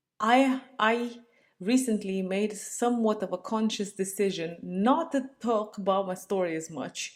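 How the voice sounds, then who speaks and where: A woman with very wide pitch swings and a fairly slow pace, on a very clean recording with a silent background. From Romania. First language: Romanian. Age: 30s. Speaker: vlogger. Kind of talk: casual monologue. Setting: home, talking to laptop. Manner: rambling, self-interrupting.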